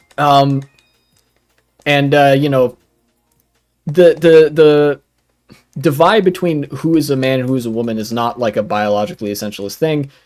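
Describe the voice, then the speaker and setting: Over music in the background, a man in an American accent speaks at a moderate pace with a fairly high pitch, ordinary pitch variation and long, frequent pauses. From United States. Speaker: streamer reacting to videos. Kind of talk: live stream reaction commentary. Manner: casual with many fillers.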